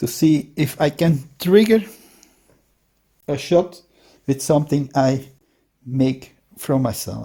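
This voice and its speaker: A dark, mellow, somewhat breathy voice with a non-native accent, very slow pace, long, frequent pauses and ordinary pitch variation. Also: man, fairly high pitch for a man. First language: Dutch. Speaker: DIY hobbyist shooter. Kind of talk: tutorial. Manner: halting, with many fillers.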